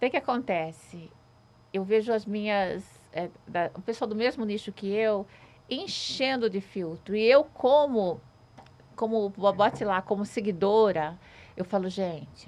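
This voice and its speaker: With long, frequent pauses, the speaker goes at a fairly slow pace and shows ordinary pitch variation. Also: woman, medium pitch for a woman. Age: 60s. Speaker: social media influencer. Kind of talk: casual chat.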